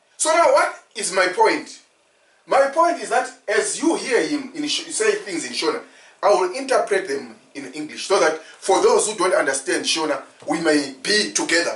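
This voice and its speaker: A man speaks in a high pitch at a moderate pace. His voice swings very widely in pitch. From Zimbabwe, Ndebele. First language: Ndebele. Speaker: preacher and commentator. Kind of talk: religious commentary with interpretation.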